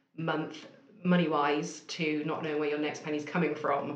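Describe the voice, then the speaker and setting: Intonation stays monotone and flat. Noticeable background noise and audible room echo are present. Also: woman. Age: 30s. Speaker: marketing agency owner. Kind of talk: interview.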